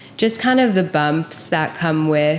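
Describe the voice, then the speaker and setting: A woman speaks at a fairly slow pace with a fairly low pitch. Noticeable background noise is heard. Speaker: podcast host. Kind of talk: casual chat. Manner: soft-spoken.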